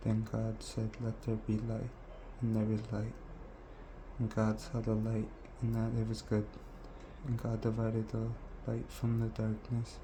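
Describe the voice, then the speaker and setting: Soft-spoken and very even in loudness, a man talks at a fairly slow pace with long, frequent pauses. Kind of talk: scripture reading.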